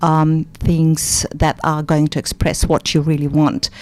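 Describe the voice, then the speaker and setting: Speaking at a fairly slow pace, a woman with a fairly low pitch comes through in a dry, close sound with no echo. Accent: non-native. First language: not English. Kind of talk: radio interview.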